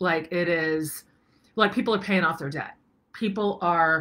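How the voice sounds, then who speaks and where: Her tone bright and sharp, a woman speaks at a fairly slow pace and fairly low pitch with ordinary pitch variation. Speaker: online course host. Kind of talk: casual vlog chat. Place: home room. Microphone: webcam.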